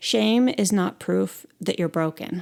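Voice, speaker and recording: A woman's medium-pitched voice, dark and mellow in tone, with lively intonation at a moderate pace, on a very clean recording with a silent background. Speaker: podcast host. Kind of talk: solo podcast monologue. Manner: long pauses.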